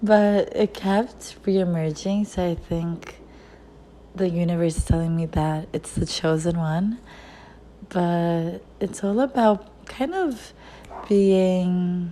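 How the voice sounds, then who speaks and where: Very slow delivery in a dark, mellow tone with ordinary pitch variation. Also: woman, medium pitch for a woman. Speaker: lifestyle vlogger. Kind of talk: casual monologue. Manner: halting, stumbling over words.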